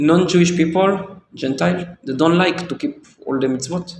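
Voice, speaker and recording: A man speaks with a high pitch and a non-native accent. His pace is fairly slow, with ordinary pitch variation. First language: not English. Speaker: rabbi. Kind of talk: religious discussion. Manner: halting.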